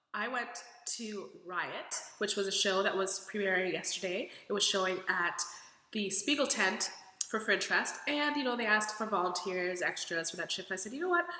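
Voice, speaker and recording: A woman's medium-pitched voice at a moderate pace with ordinary pitch variation, plus audible room echo and noticeable background noise. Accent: American. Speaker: vlogger. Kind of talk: casual vlog. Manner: animated.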